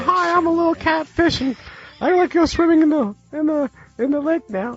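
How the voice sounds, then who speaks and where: Putting on a character voice, a man talks at a fairly quick pace in an extremely high pitch. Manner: cute, playful voice for fish.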